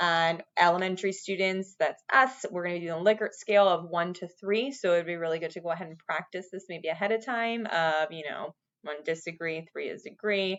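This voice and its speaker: Hardly pausing, a woman speaks with big swings in loudness and ordinary pitch variation. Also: fairly low pitch for a woman. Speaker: school staff training teachers. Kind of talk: recorded training video. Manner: fast.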